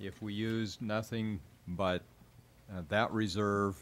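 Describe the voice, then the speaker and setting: A man talks in a normal speaking voice, fairly low in pitch. His intonation is fairly even. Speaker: school district superintendent. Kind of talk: public meeting report.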